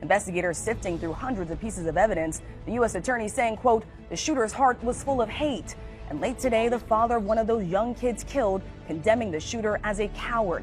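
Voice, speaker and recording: A woman talks at a very fast pace with fairly high pitch and ordinary pitch variation. Music plays in the background. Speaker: news anchor. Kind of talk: television news anchor broadcast.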